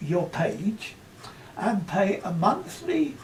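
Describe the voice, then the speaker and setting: Amid noticeable background noise, a man talks at a very slow pace with a high pitch. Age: 80s+. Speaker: corrosion engineer. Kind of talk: reading prepared statement.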